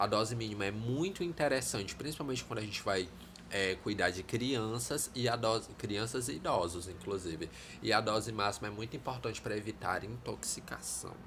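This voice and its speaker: Audible room echo surrounds a man speaking in a fairly low voice. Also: ordinary pitch variation, moderate pace. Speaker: teacher. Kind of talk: lecture. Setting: live stream.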